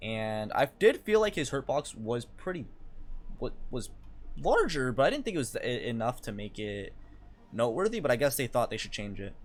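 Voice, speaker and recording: Loud and at a moderate pace, a man speaks at a medium pitch with very wide pitch swings. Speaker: gaming youtuber. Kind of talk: casual commentary on patch notes. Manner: animated.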